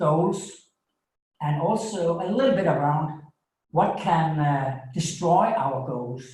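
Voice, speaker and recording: A man with a Danish accent at a very slow pace and fairly high pitch, ordinary pitch variation and audible room echo. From Denmark. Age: 50s. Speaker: coach and author. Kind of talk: webinar presentation. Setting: small home studio. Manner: halting, with many fillers.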